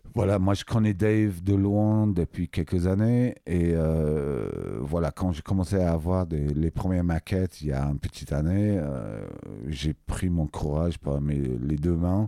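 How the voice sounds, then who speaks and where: Speaking at a fairly slow pace and very even loudness, a man with an English accent has a very deep, low pitch and a dark, mellow tone. The sound is dry and close with no echo, on a very clean recording with a silent background. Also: ordinary pitch variation. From England. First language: English (speaking French). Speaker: music producer and label owner. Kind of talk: interview. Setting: recording studio. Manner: halting, many hesitations.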